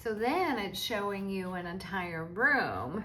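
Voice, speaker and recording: Noticeable background noise and audible room echo fill the recording. A woman speaks in a medium pitch with ordinary pitch variation. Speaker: crafter selling supplies online. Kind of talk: product show-and-tell video. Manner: slow, deliberate pacing; casual, chatty.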